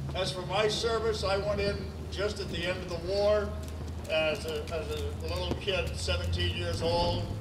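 A man's voice over loud background noise. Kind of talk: ceremonial speech. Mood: earnest, reflective. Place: stage. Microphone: podium.

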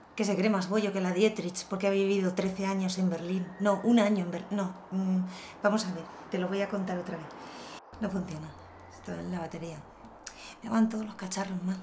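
Over noticeable background noise, a woman talks at a fairly quick pace with monotone, flat intonation. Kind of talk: casual confessional monologue. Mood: wry, exasperated humor. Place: home room. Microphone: camera far.

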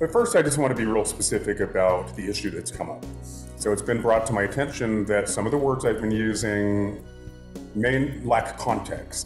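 A man talks at a fairly quick pace with fairly even intonation. Faint music plays in the background, and room echo is audible. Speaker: course instructor. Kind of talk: casual talk to camera addressing class. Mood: earnest, slightly apologetic. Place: home room. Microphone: phone near.

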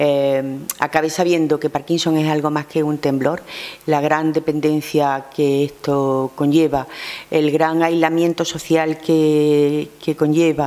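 A woman speaks at a fairly slow pace. Her intonation is flat and monotone. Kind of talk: press conference statement. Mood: warm, grateful. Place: meeting room. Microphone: podium.

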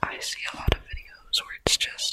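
Soft-spoken whispering comes through with noticeable background noise. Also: moderate pace. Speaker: ASMR creator. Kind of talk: ASMR whisper. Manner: soft close-mic whisper. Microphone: studio mic.

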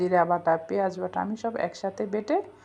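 A woman speaks at a medium pitch. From Bangladesh, Feni/Noakhali region. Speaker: cooking vlogger. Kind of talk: cooking tutorial. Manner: casual, switching into Noakhali dialect.

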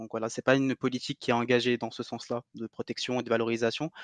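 Monotone, flat intonation in a dry, close sound with no echo over a quiet background. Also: man. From Algeria. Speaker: cultural heritage advocate. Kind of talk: interview. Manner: halting.

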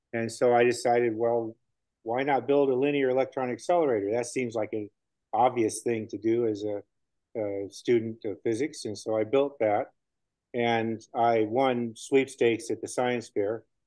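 Dry and echo-free with a quiet background, a man with an American accent talks at a moderate pace in a dark, mellow tone with fairly even intonation. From Southern California. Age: 70s. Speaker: furniture conservator. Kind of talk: lecture. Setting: stage with audience. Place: workshop. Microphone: webcam.

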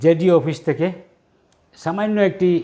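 A man talks with ordinary pitch variation. He has a plain, everyday voice. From Jiribam area, Manipur, India. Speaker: retired headmaster. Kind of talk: interview.

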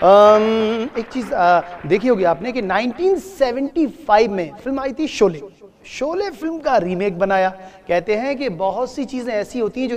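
At a fairly slow pace, a man talks with very wide pitch swings. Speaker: comedian. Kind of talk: comedy stage patter. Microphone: lapel.

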